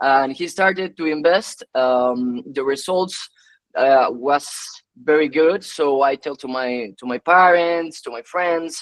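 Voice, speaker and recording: A man with a Spanish accent speaks at a fairly slow pace, his pitch fairly high. The sound is dry and close with no echo, and his pitch varies in an ordinary way. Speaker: tech entrepreneur. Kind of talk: webinar talk. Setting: online webinar. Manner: halting, many fillers and repetitions.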